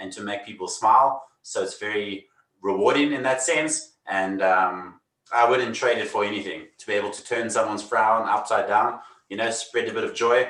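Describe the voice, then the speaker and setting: The speaker has a South African accent. Room echo is audible. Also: man. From South Africa, Cape Town. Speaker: magician. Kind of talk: casual interview.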